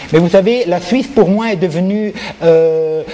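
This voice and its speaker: Through noticeable background noise, a man with a non-native accent speaks at a fairly slow pace with ordinary pitch variation. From Switzerland, Neuchâtel (grew up from age 14). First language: not French (speaking French). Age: 60s. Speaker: artist. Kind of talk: interview. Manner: halting, many repetitions.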